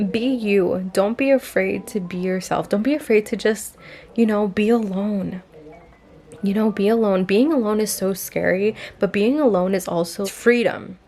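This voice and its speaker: A woman with a non-native accent, music in the background. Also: medium pitch for a woman, ordinary pitch variation, moderate pace. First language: not English. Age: 20s. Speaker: lifestyle vlogger. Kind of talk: casual vlog monologue.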